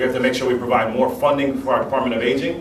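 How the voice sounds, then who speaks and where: There is noticeable background noise along with audible room echo. A man talks very fast. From Jamaican heritage. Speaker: mayoral candidate. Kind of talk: political forum answers. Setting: union hall forum with audience.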